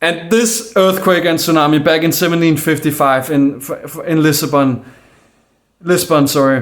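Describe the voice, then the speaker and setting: A man's fairly high voice, moderate in pace, with ordinary pitch variation. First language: Danish. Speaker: conspiracy video maker. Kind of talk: casual monologue. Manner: halting.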